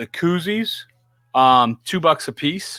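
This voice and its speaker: The voice has a Louisiana accent and a bright, sharp tone, with a dry, close sound and no echo. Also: man, very clean recording, silent background. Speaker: podcast host. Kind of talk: casual live chat. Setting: live stream.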